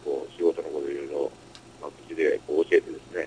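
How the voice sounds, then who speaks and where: In a Kansai accent, a man talks at a very fast pace, the sound dry and close with no echo but with noticeable background noise. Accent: Kansai (Osaka) dialect. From Osaka, Japan. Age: 30s. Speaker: adult-entertainment business owner. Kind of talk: interview. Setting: home music studio.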